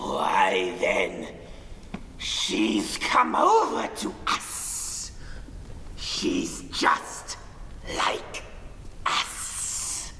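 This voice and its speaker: Someone whispers in a put-on character voice at a very slow pace, with long, frequent pauses. Clear background noise and a clear echo fill the recording. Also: man. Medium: stage play. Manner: excitable, whispery.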